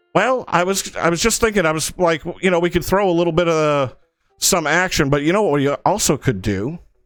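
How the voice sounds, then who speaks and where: A man's high voice at a fairly quick pace and very even loudness, with music in the background. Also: ordinary pitch variation. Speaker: game streamer. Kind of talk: live stream commentary. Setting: live stream. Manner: fast.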